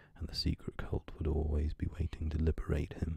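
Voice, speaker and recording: Very deep and low, a man's voice has a dark, mellow tone and is somewhat breathy. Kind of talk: audiobook reading of a horror story, ASMR. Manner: soft-spoken, whispery.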